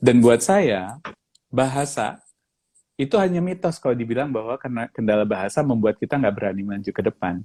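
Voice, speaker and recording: A man's dark, mellow tone at a fairly quick pace, in a dry, close sound without echo. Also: very clean recording, silent background. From Indonesia. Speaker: professional facilitator. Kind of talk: casual interview chat. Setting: Instagram live video. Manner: code-switching Indonesian and English.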